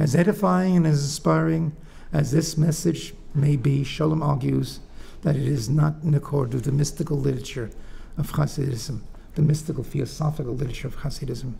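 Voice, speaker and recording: Vocal fry runs through a fairly quick delivery with ordinary pitch variation. Room echo is audible. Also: man, fairly high pitch for a man. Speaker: professor. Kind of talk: lecture. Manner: soft-spoken; halting.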